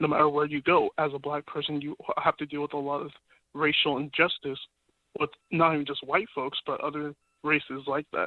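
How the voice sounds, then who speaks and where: In an American accent, a man talks at a fairly quick pace with monotone, flat intonation. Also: fairly high pitch for a man. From US, Sacramento area, Nigerian family. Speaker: caller. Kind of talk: phone-in call.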